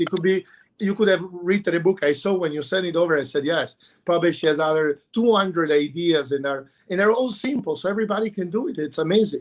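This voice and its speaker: A man speaks at a fairly quick pace with an Italian accent. His pitch is high and his intonation lively. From Italy, Bologna. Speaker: chef and restaurateur. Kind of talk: panel discussion. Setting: livestream. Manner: animated.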